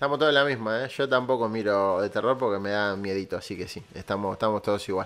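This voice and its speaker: A very fast, animated delivery with ordinary pitch variation and hardly any pauses. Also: man, fairly low pitch for a man. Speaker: podcast host. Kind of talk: casual chat. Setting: live stream.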